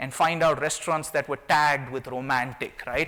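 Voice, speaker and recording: A man with a non-native accent speaks in a bright, sharp tone with fairly even intonation. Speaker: tech company CEO. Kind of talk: conference talk. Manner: fast.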